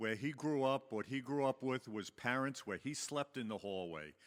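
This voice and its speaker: A man speaks with a Long Island accent. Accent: Long Island New York. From Long Island, New York. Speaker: recovery meeting speaker. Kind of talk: personal testimony to audience. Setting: stage with audience. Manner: conversational, filler-heavy.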